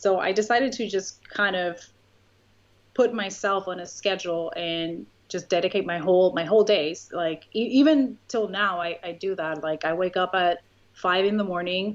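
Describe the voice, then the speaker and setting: This voice has a Spanish accent and ordinary pitch variation. The pace is moderate. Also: woman, medium pitch for a woman. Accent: Spanish accent, noticeable. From Puerto Rico. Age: 30s. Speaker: YouTuber. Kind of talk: interview.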